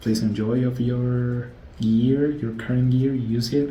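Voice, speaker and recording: A man with a Spanish accent speaks at a fairly slow pace, with audible room echo. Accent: non-native English, Spanish-speaking. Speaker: gadget and audio reviewer. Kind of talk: casual product review. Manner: halting, many fillers.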